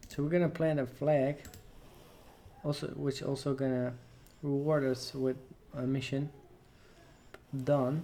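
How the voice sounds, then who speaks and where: A man speaks at a moderate pace with a non-native accent, his pitch fairly high for a man. His intonation is flat and monotone, broken by long, frequent pauses. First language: not English. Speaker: gaming let's player. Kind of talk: gameplay commentary. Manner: casual, hesitant.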